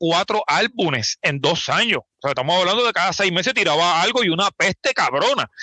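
A man's high-pitched voice, bright and sharp, with lively intonation, a fairly quick pace and hardly any pauses, in a dry, close sound with no echo. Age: 40s. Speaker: podcast host. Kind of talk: casual chat.

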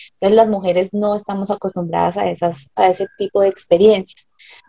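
A woman talks at a medium pitch with a dark, mellow tone and monotone, flat intonation. The sound is dry and close, with no echo. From Colombia. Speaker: ant keeper. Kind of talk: interview.

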